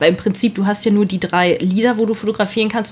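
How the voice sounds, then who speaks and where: A somewhat breathy woman's voice of medium pitch, with fairly even intonation. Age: 30s. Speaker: photojournalist. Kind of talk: casual chat.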